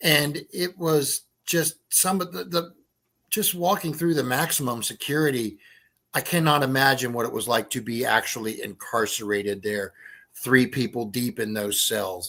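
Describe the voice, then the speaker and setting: Over a very clean recording with a silent background, a man with an American accent speaks at a moderate pace and medium pitch, his tone bright and sharp, his intonation lively. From West Virginia. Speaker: writer and paranormal investigator. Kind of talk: casual chat.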